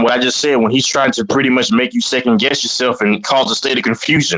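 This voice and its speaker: A man with a mid-range pitch races through his words very fast while noise is clearly heard in the background. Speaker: panel member on sports debate stream. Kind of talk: heated debate. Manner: repetitive, stumbling.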